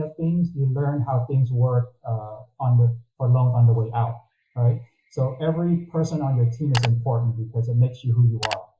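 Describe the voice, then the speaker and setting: This man speaks with an American accent in a somewhat breathy, dark, mellow tone. His pitch is medium, with ordinary pitch variation. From Texas, Corpus Christi. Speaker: mortgage consultant. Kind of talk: interview.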